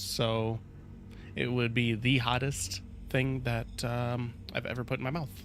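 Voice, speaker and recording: Over background music in a room with audible echo, a man of medium pitch talks at a fairly slow pace with fairly even intonation and long, frequent pauses. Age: 20s. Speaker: gaming streamer. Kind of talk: casual live stream chat. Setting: live stream. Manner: casual, slangy.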